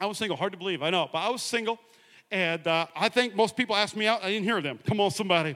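A man's high, raised and projected voice, bright and sharp in tone, animated, with lively intonation and a very fast pace. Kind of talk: sermon with jokes and audience participation. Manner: animated, loud, fast-talking, with call-and-response and humor; fast talker.

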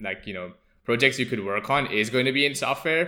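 A man's bright, sharp tone at a fairly quick pace, with ordinary pitch variation. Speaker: software engineer. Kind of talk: casual chat.

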